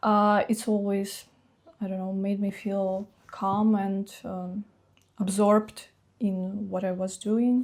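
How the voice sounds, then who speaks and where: The speaker talks very slowly in a flat, monotone way. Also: woman, medium pitch for a woman. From Russia, Chuvash Republic. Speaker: fine artist. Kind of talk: interview. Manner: halting, hesitant.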